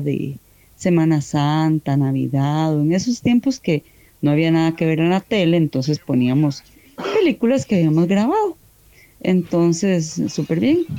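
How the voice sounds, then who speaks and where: A woman speaks with a fairly low pitch and a dark, mellow tone. Her intonation is lively. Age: 40s. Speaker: mother telling a listener story. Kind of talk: personal anecdote. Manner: animated.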